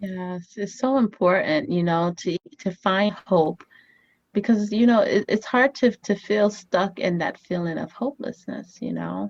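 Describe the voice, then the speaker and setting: A woman's medium-pitched voice with a Haitian accent, fairly slow and with ordinary pitch variation, in a dry, close sound with no echo. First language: Haitian Creole. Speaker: family therapist and author. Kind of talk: interview. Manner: hesitant, many fillers.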